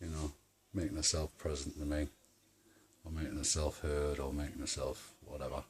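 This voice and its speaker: Long, frequent pauses break up a man's speech at a moderate pace. His very deep, low voice is somewhat breathy and monotone, with flat intonation. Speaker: paranormal video maker. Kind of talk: casual monologue to camera. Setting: at home. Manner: halting.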